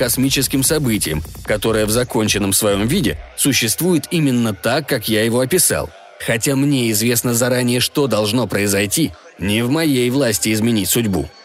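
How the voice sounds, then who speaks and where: A man speaks at a moderate pace with a medium-pitched voice. There is noticeable noise in the background. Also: very even loudness. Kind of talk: literary audiobook reading, first-person sci-fi narration with voiced character dialogue.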